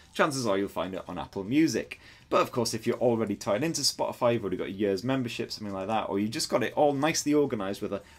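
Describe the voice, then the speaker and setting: With a northern English accent, a man talks at a very fast pace with lively intonation and hardly any pauses. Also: medium pitch for a man. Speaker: tech reviewer. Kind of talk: product review. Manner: animated.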